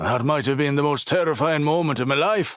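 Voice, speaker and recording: Putting on a character voice, a man talks at a fairly high pitch and a fairly quick pace with very even loudness. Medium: read story.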